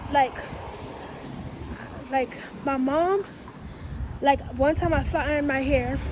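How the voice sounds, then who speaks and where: A woman talks at a moderate pace as noticeable background noise carries on behind her. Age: 20s. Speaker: vlogger giving relationship advice. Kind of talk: casual story time vlog.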